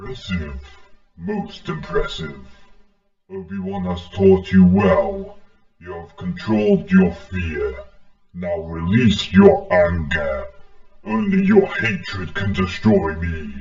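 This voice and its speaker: A put-on character voice from a man, delivered fairly slowly. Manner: menacing.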